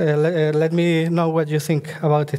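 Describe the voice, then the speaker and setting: The voice speaks in a monotone, flat intonation over noticeable background noise. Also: man. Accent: Spanish. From Spain. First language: Spanish. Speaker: software developer. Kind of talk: conference lightning talk. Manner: halting, many fillers.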